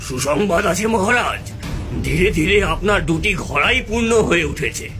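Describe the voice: Over loud music in the background, a man uses a cartoonish character voice with a high pitch at a moderate pace.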